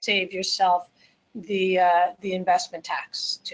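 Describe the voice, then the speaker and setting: A woman with a New Jersey accent. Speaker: accountant. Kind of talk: webinar presentation. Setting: webinar.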